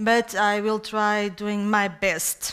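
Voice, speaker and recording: In a very clean recording with a silent background, a woman with a fairly high voice speaks very slowly. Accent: Portuguese. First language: Portuguese. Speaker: head of a national equality commission. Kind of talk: conference presentation. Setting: conference stage with audience. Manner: halting, many hesitations.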